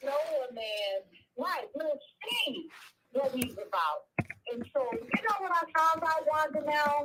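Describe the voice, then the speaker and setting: Projecting a raised, high-pitched voice, a woman talks very slowly with very wide pitch swings and long, frequent pauses. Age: 60s. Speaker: caller. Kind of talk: call-in comment.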